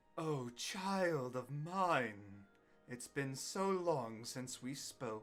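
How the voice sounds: Using a put-on character voice, a man speaks at a very slow pace with medium pitch.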